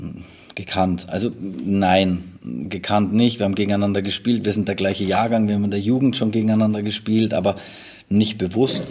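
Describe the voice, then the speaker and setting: Here a man talks at a fairly quick pace. His intonation stays fairly even. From Munich, Bavaria. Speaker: football assistant coach. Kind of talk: interview. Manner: halting.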